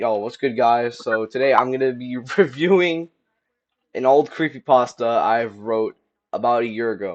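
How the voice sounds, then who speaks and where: A man with a normal speaking voice talks at medium pitch and a moderate pace, his pitch varying in an ordinary way. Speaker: YouTuber. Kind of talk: casual chat; reading aloud. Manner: casual.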